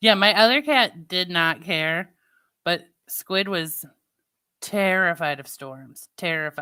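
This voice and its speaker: A woman's fairly low, bright, sharp voice with a slight St. Louis accent, very slow with long, frequent pauses, lively intonation and big swings in loudness, on a very clean recording with a silent background. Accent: Midwestern, slight St. Louis. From US Midwest, Missouri. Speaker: live streamer. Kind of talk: casual chat.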